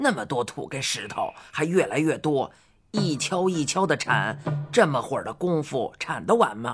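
A woman puts on a character voice at an extremely low pitch, with a slightly husky edge and big pitch swings. She keeps a moderate pace as faint music plays in the background.

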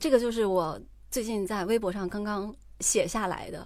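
A woman speaks in a normal speaking voice. Her pitch is fairly high with ordinary variation. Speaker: podcast host. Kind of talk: casual chat.

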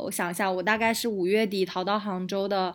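Monotone, flat intonation from a woman at medium pitch on a very clean recording with a silent background. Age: 30s. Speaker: digital nomad entrepreneur and guesthouse owner. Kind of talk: casual interview chat.

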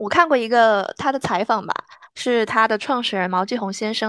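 A woman's ordinary speaking voice, fairly high in pitch. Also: quiet background. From northwest China. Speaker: graduate student and podcast host. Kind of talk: casual chat; self-introduction.

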